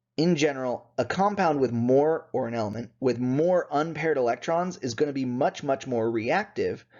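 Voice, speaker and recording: A man speaks in a normal speaking voice, medium in pitch, at a moderate pace. His intonation is lively. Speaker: chemistry instructor. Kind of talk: lecture.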